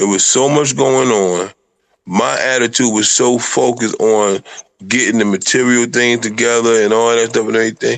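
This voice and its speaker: At a moderate pace, a man with a medium pitch speaks in an unremarkable speaking voice, his loudness very even and his intonation fairly even. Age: 50s. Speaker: polygamous husband discussing marriage. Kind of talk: casual chat.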